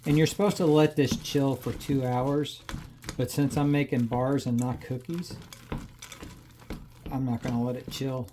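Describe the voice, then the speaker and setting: The speech is mumbled at a moderate pace with fairly even intonation and long, frequent pauses, over noticeable background noise. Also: man, medium pitch for a man. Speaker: cooking channel host. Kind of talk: casual cooking tutorial. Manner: mumbling; casual, halting.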